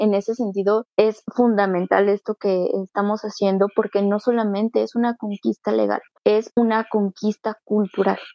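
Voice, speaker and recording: A woman talks at a medium pitch in a flat monotone with hardly any pauses. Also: moderate pace. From Mexico City (Iztacalco). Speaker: local legislator. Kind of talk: radio interview.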